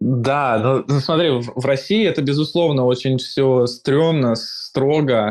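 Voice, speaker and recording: The voice moves at a very slow pace with hardly any pauses, its loudness very even and its pitch varying in an ordinary way. Noticeable background noise sits underneath. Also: man, medium pitch for a man. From Moscow, Russia. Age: 20s. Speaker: software engineer. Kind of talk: casual chat.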